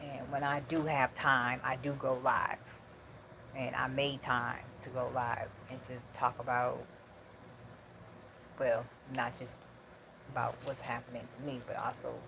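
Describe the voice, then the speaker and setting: Fairly slow delivery with long, frequent pauses. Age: 40s. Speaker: livestreamer. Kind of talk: casual chat. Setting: live stream. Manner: animated.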